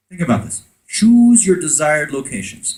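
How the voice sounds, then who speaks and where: With an American accent, a man speaks at a moderate pace in a somewhat breathy, fairly high voice that swings very widely in pitch. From France. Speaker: conference speaker on conversion marketing. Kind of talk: conference talk with audience interaction. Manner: animated.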